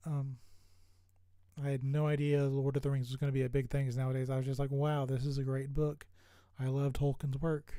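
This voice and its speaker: Soft-spoken and at a moderate pace, a man with a fairly high pitch and a dark, mellow tone talks in a monotone, flat intonation. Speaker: streamer. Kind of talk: casual chat. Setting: live stream. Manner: hesitant, many fillers.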